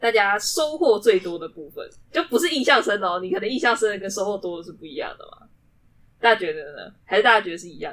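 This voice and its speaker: A woman speaks at a fairly quick pace with very wide pitch swings and big swings in loudness. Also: medium pitch for a woman. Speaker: student podcast club host. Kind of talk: casual chat. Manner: animated.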